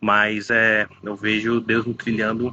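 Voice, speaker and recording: This is a man speaking. His pitch sits fairly low. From Baixada Santista, São Paulo state, Brazil. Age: 30s. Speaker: pastor. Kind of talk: interview.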